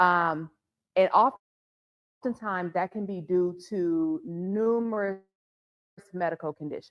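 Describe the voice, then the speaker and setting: A woman with an American accent, medium pitch, ordinary pitch variation, and long, frequent pauses. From US Midwest, Milwaukee. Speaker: psychologist. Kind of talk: presentation. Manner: loud.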